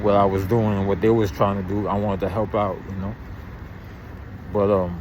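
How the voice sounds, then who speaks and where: A man's fairly low, monotone, flat delivery in a New York accent, at a moderate pace with long, frequent pauses and audible room echo. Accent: New York City. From Brooklyn, New York. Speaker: YouTube commentator. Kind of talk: casual monologue. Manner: halting.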